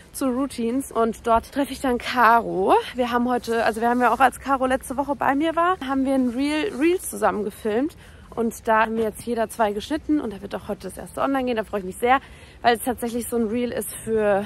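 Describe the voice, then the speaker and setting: A woman at a high pitch and a fairly quick pace. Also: ordinary pitch variation, dry sound with no echo. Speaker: vlogger. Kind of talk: casual vlog chat. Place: street. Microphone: phone near.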